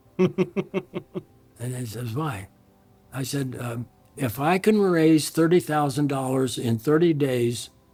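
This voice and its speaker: With music in the background, a man of fairly high pitch speaks at a very slow pace with ordinary pitch variation. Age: 80s+. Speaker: pastor. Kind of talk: storytelling anecdote.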